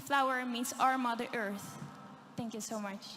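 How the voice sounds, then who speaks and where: Music plays in the background while a woman speaks at a fairly slow pace with ordinary pitch variation. Audible room echo colors the recording. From Netherlands. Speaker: beauty pageant contestant. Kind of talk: pageant speech.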